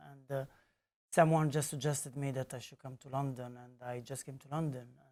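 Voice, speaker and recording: A man with an Italian accent, on a very clean recording with a silent background. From Italy (Naples). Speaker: community organiser, founder of a litter-picking art group. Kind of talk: podcast interview.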